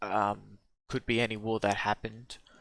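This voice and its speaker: Heard over a very clean recording with a silent background, the speaker has an Australian accent and a moderate pace. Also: man. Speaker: history reaction youtuber. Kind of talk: video reaction commentary. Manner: hesitant, many fillers.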